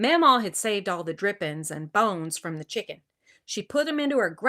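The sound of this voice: An unforced reading voice over a quiet background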